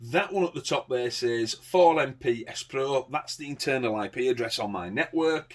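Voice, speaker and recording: A man talks at a moderate pace in a very clean recording against a silent background. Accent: English. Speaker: CCTV installer reviewing products. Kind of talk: product demonstration tutorial. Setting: at home, garden. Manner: casual, chatty.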